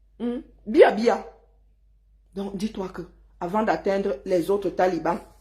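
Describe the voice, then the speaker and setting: With a dark, mellow tone and a somewhat breathy quality, a woman at medium pitch speaks very slowly with long, frequent pauses, ordinary pitch variation, and big swings in loudness. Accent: southern Cameroonian. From southern Cameroon. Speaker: online commentator. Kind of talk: heated rant. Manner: animated.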